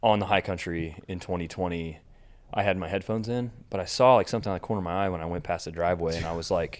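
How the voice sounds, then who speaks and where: This man has an American accent and a very deep, low pitch, with ordinary pitch variation. He talks at a very fast pace in a very clean recording with a silent background. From Kansas. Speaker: bike shop owner and race organizer. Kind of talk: casual chat. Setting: studio. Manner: animated.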